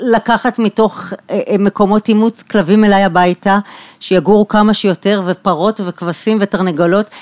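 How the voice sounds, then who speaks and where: The recording is dry and close, without any echo. A woman speaks fairly slowly. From Israel, Bat Yam. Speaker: architect and interior designer, podcast host. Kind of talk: interview about her life and work. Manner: halting, with repetitions.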